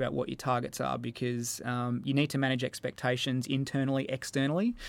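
A man talks very fast in an Australian accent. His medium-pitched voice stays flat and monotone. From Australia, Melbourne. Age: 30s. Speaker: netball coach. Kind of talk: interview. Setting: studio.

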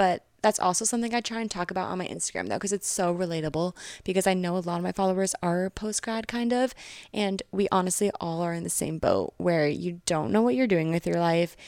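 A woman with an American accent talks at a very fast pace, her voice dry and close with no echo. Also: medium pitch for a woman, ordinary pitch variation. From Connecticut, US. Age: 20s. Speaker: social media influencer. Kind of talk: casual chat.

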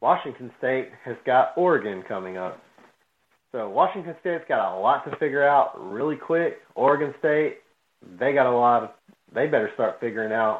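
A man with a normal speaking voice talks at a moderate pace, his medium pitch carried by lively intonation. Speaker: sports podcast co-host. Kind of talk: casual chat.

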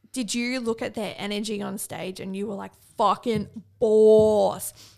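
A woman speaks with an Australian accent at a moderate pace. Her voice sits fairly high in pitch. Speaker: podcast co-host and bikini competitor. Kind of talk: casual chat.

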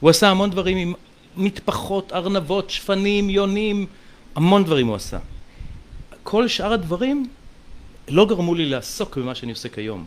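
A man speaks with a high pitch and lively intonation. His pauses are long and frequent. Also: moderate pace, big swings in loudness. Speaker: mentalist. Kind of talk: casual chat.

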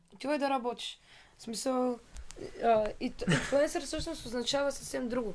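A woman with a high pitch and ordinary pitch variation talks at a very slow pace, leaving long, frequent pauses. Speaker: singer. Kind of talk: casual chat.

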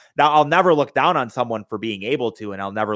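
Here is a man with an unremarkable speaking voice, pitched fairly low. He talks at a fairly quick pace with lively intonation. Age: 20s. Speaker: musician. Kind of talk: casual interview chat.

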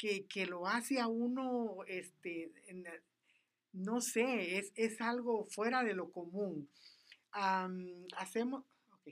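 At a very slow pace, a woman with a medium pitch and ordinary pitch variation speaks with big swings in loudness. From Guatemala, Petén. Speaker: catechist giving testimony. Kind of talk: testimony. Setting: radio studio.

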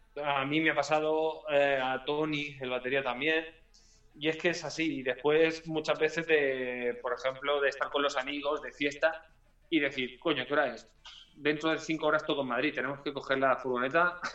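Moderately paced, a man talks in a fairly high voice. His intonation is monotone and flat. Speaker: punk-ska band singer. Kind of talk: casual interview.

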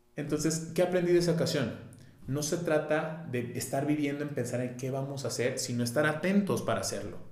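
A man's fairly high-pitched voice at a fairly quick pace, with ordinary pitch variation and audible room echo. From Mexico, Guadalajara. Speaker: entrepreneurship facilitator and consultant. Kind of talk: casual interview chat. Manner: animated, slangy.

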